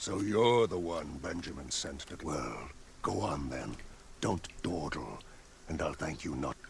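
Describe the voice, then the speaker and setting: Over clear background noise, a put-on character voice moves at a fairly slow pace with lively intonation. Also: man, very deep, low pitch for a man. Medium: video game. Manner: brusque, condescending.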